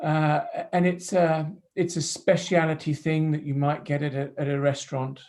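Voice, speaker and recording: A man with an ordinary speaking voice talks at a moderate pace, his fairly high pitch held in fairly even intonation. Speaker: entrepreneur. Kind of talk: casual chat.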